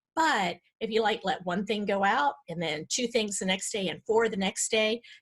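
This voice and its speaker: A somewhat breathy woman's voice of medium pitch. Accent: American. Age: 50s. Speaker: decluttering coach and author. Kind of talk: podcast interview. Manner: halting.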